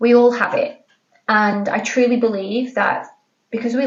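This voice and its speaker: Somewhat breathy and fairly high in pitch, a woman speaks with a British accent. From Britain. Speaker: podcast host. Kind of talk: casual chat. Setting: home office. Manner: chatty, informal.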